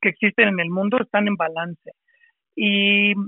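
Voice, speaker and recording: Fairly slow, fairly even-toned speech from a man. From Mexico, Monterrey. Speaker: spiritual coach and priest. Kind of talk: interview. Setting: remote audio call.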